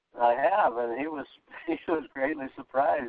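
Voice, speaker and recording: This man's voice sits at a fairly high pitch. He talks at a moderate pace. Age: 60s. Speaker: weight loss client, architect. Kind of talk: testimony. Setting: phone call. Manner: halting.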